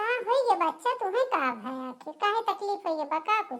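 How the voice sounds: A squeaky, cartoonish character voice races along at a fairly quick pace with very wide pitch swings. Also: woman, extremely high pitch for a woman.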